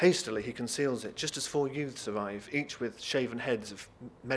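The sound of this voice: Ordinary pitch variation runs through the unforced reading voice.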